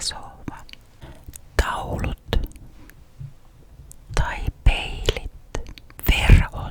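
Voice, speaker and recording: A woman's calm whispering at a very slow pace, with noticeable background noise. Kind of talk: ASMR this-or-that questions. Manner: whispered, calm, relaxing.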